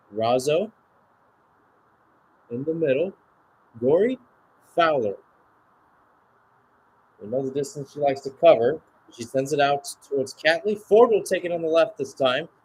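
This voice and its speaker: A man with a fairly high, somewhat breathy voice talks at a moderate pace with lively intonation, big swings in loudness, and long, frequent pauses. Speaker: radio play-by-play sports commentator. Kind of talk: live sports play-by-play commentary. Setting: speaking from Phoenix, Arizona, at an early-morning hour.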